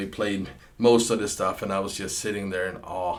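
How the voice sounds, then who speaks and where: Room echo is audible on this recording. A man talks at a moderate pace. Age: 50s. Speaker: session guitarist. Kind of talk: personal storytelling. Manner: hesitant, with many repeated words.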